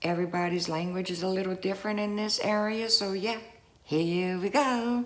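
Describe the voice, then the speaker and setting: With a South Louisiana accent, a woman speaks at a moderate pace using fairly even intonation. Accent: Cajun South Louisiana. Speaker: vlogger. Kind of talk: casual talk to camera. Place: home room. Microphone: phone near.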